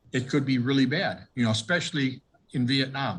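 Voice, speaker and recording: A man with an American accent, somewhat breathy, at a moderate pace. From US Midwest, Milwaukee, Wisconsin. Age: 70s. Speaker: war veteran. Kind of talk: oral history interview. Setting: video call.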